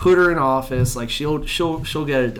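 With a bright, sharp tone, a man at a fairly high pitch speaks at a fairly slow pace with ordinary pitch variation and audible room echo. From Canada. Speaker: podcast co-host. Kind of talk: casual chat.

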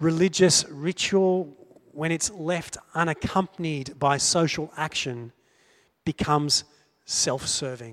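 Very slowly, a man with an Australian accent talks at a fairly high pitch with ordinary pitch variation. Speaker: preacher. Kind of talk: sermon.

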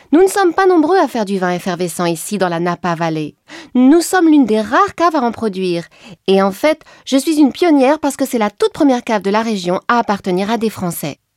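A woman speaks fairly quickly at a fairly high pitch, with very wide pitch swings, in a dry, close sound with no echo. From France, Champagne. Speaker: winemaker. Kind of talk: informative explainer.

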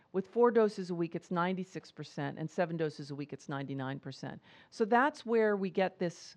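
Against a quiet background, a woman with a plain, everyday voice speaks at a moderate pace and a fairly low pitch. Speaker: professor and HIV prevention researcher. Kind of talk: medical lecture. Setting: conference talk with audience.

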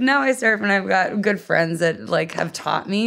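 At a fairly slow pace, a woman uses an ordinary speaking voice at a medium pitch with ordinary pitch variation. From US Northeast, Philadelphia. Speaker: professional skater and stunt double. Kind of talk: casual interview.

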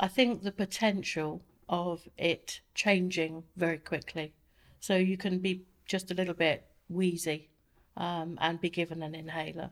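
This woman has an unremarkable speaking voice, fairly low in pitch, delivered at a fairly slow pace with fairly even intonation. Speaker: asthma patient. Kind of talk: interview. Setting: studio.

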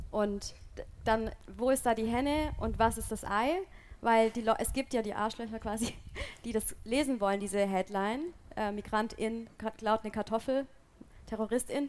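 A woman talks at a moderate pace with fairly even intonation, leaving long, frequent pauses. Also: fairly high pitch for a woman. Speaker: podcast host. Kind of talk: live panel discussion. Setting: stage with audience outdoors.

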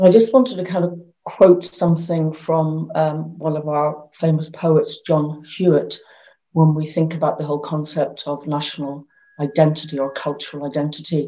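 A woman's very deep, low voice with a dark, mellow tone, a Northern Irish accent, fairly even intonation and a moderate pace. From Northern Ireland. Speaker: arts council chief executive. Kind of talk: panel discussion. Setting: video call.

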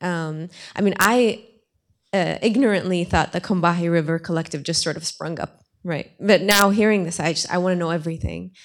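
The recording is very clean, with a silent background. The speech moves at a fairly quick pace with ordinary pitch variation. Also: woman, fairly low pitch for a woman. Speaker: audience member. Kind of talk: Q&A question. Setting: stage with audience. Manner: halting.

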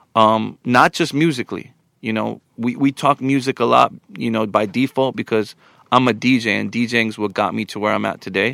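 A man speaks with a New York accent at a medium pitch, with ordinary pitch variation, vocal fry and a bright, sharp tone. The pace is moderate, and the very clean recording has a silent background and a dry, close sound with no echo. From Long Island, New York, US. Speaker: DJ and podcast co-host. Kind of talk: casual chat.

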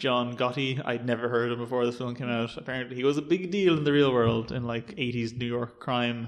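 A man with a Dublin accent talks at a fairly quick pace with hardly any pauses. His pitch is medium. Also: ordinary pitch variation. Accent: Irish, Dublin. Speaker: film podcast host. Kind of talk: casual chat.

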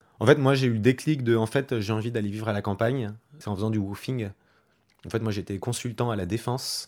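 On a very clean recording with a silent background, a man talks at a fairly quick pace. His pitch is medium and his intonation fairly even. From western France, Loire-Atlantique. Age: 30s. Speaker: colleague who moved to the countryside. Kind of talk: interview testimony. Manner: casual, halting.

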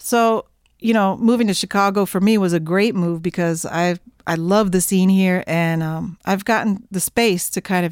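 A woman with an American accent and an unremarkable speaking voice talks at a moderate pace and a medium pitch with fairly even intonation. The recording is very clean, with a silent background. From Oklahoma, near Oklahoma City. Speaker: jazz saxophonist. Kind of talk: interview.

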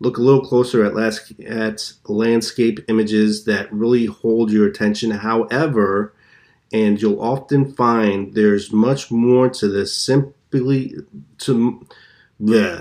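The recording is very clean, with a silent background. A man speaks very slowly at a medium pitch. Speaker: podcast host. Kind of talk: solo casual podcast, improvised talk. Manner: rambling, filler words, impatient.

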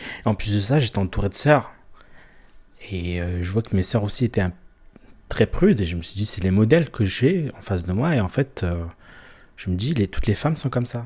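A man with a fairly low pitch and a dark, mellow tone speaks at a moderate pace with ordinary pitch variation. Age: 30s. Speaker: interviewee sharing personal story. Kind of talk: confessional interview. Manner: hesitant, many fillers and repetitions.

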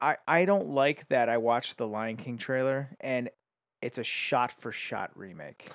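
The recording is very clean with a silent background, dry and close with no echo. A man with a plain, everyday voice speaks at a fairly slow pace with big swings in loudness. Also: medium pitch for a man, ordinary pitch variation. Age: 30s. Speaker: podcast guest. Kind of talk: casual chat.

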